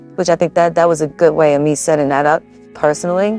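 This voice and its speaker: Over background music, a woman with a very deep, low pitch talks very fast in fairly even intonation. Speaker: gaming YouTuber. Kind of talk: casual tutorial talk to camera.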